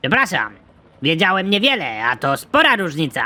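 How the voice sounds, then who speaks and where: This cartoonish character voice sits at a middle pitch. It swings very widely up and down. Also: moderate pace. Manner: polite, rambling.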